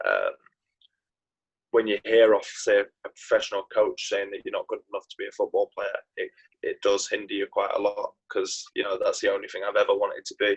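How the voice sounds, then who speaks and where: With a Yorkshire accent, a man talks at a fairly quick pace in a dry, close sound with no echo. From northern England, Knaresborough, North Yorkshire. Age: 20s. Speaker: professional footballer. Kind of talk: interview. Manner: hesitant, many fillers.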